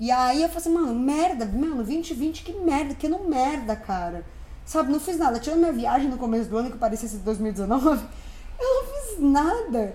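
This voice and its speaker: A high-pitched woman's voice with very wide pitch swings at a moderate pace, audible room echo and noticeable background noise. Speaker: podcast co-host. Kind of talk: casual chat. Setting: recording at home.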